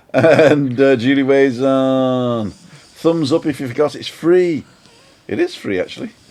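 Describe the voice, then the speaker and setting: A man with a fairly high voice speaks at a fairly slow pace. His pitch varies in an ordinary way, and there is noticeable background noise. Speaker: live stream host. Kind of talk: casual live stream chat. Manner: animated.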